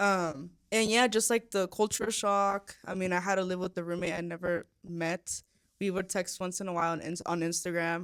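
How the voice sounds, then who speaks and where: A woman with a Spanish accent at a medium pitch and a moderate pace, in a very clean recording with a silent background. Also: fairly even intonation. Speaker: podcast co-host. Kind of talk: casual chat. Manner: halting, many fillers and restarts.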